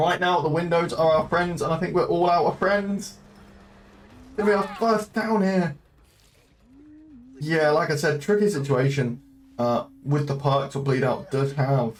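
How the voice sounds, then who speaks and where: Amid noticeable background noise, a man with a fairly high voice and ordinary pitch variation speaks with long, frequent pauses. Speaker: esports caster. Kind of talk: live commentary. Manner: hesitant with filler sounds.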